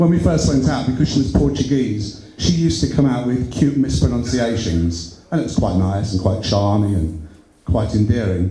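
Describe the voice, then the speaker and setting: Over audible room echo, the speaker moves at a moderate pace with very wide pitch swings. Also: man. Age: 60s. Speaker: amateur stand-up comedian. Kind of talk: stand-up. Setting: stage with audience. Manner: halting.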